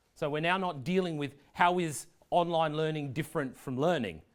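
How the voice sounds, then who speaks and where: Recorded very cleanly against a silent background, a man talks in an Australian accent. His pace is moderate, with ordinary pitch variation. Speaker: education technology leader giving a talk. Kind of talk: presentation.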